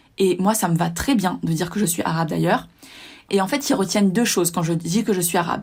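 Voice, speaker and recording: In a very clean recording with a silent background, a woman speaks fairly quickly at medium pitch, somewhat breathy, with ordinary pitch variation. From southern France. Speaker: personal development podcaster. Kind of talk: casual monologue.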